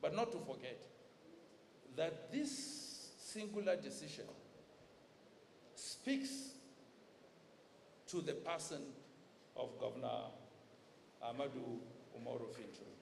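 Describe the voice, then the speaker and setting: Speaking at a fairly slow pace with long, frequent pauses, a man is heard through audible room echo and noticeable background noise. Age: 60s. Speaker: dignitary giving a goodwill speech. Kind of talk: formal speech. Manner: formal.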